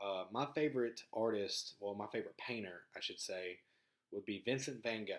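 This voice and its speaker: The speaker has a strong Southern US accent. The pace is moderate. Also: man. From US South, rural Mississippi. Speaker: podcast host. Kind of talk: casual monologue. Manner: halting, many fillers and repeats.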